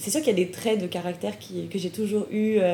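The speaker is a woman with a dark, mellow tone. There is a somewhat breathy quality to her voice. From France. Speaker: graduate student and podcast host. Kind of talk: casual interview.

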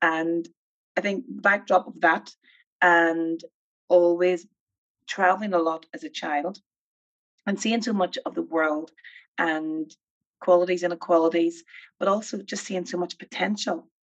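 A woman with a Northern Irish accent talks at a fairly slow pace and a fairly low pitch, with ordinary pitch variation, big swings in loudness, and long, frequent pauses. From Northern Ireland, Armagh. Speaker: film producer and nonprofit chief executive. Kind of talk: interview conversation. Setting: video call.

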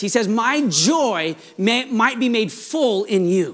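A man talks at an extremely high pitch. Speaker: pastor. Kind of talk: sermon. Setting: church. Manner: fast talker, excitable.

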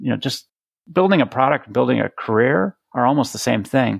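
A man with an American accent speaks fairly quickly at a medium pitch, with vocal fry. The sound is dry and close, with no echo. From Boston. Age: 50s. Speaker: product leadership coach and speaker. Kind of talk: interview. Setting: call.

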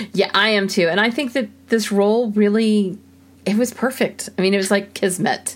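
A woman speaks at a medium pitch in an ordinary speaking voice. Her intonation is fairly even and her loudness very even. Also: moderate pace. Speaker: podcast co-host. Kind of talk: casual chat.

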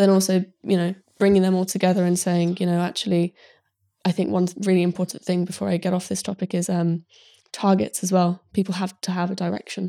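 In a British accent, the speaker goes at a fairly quick pace with a dark, mellow tone and monotone, flat intonation on a very clean recording with a silent background. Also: woman, medium pitch for a woman.

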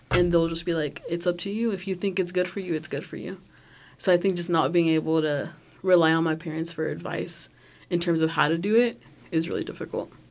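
A woman with a fairly low pitch talks at a fairly quick pace in a plain, everyday voice, her intonation fairly even. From rural Oklahoma. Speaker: university student.

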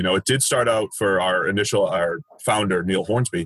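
In a normal speaking voice, a man with an American accent and a fairly low pitch talks at a moderate pace with ordinary pitch variation, in a dry, close sound with no echo. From Boston, US. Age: 30s. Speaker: football analyst, former baseball player. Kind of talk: podcast interview.

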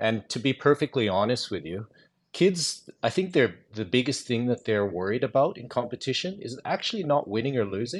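In a very clean recording over a silent background, a man talks with very wide pitch swings. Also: medium pitch for a man, moderate pace. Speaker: parent of competing kids.

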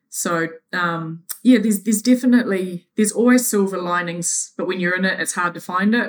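Speech unfolds at an unhurried, middling tempo, its pitch shifting in a typical way. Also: woman. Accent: New Zealand. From New Zealand. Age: 40s. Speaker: triathlete. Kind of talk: interview. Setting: remote call.

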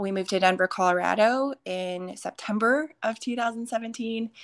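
A woman's fairly high voice, an ordinary speaking voice with an American accent, ordinary pitch variation and a fairly slow pace against a quiet background. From Minnesota. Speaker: fitness coach and retreat speaker. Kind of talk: casual interview with faith testimony.

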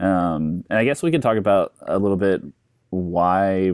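An ordinary speaking voice from a man, fairly low in pitch and fairly slow in pace. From US South, Georgia (Atlanta). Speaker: podcast host, graphic designer and photographer. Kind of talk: casual chat.

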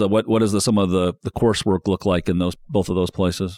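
A man speaks with an American accent in a plain, everyday voice. His intonation is fairly even, and the sound is dry and close with no echo. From northern Indiana, US. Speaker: podcast host, media executive. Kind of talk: interview.

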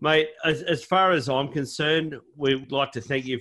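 With an Australian accent, a man speaks at a moderate pace and ordinary pitch variation. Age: 40s. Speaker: podcast host. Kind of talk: casual chat. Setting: video call.

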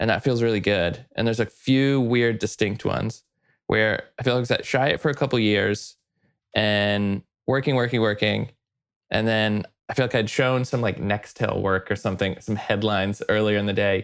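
The speaker uses an unremarkable speaking voice at a moderate pace with very even loudness. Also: man, fairly low pitch for a man. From Texas, small town near Dallas. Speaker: advertising creative director. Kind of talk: interview conversation. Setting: remote call.

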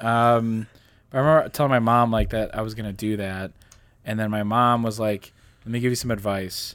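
A man with a medium-pitched voice speaks an unremarkable speaking voice at a fairly quick pace, his intonation fairly even. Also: very clean recording, silent background. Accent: American. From Indiana, Pennsylvania (western Pennsylvania). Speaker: podcast co-host. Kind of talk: casual chat.

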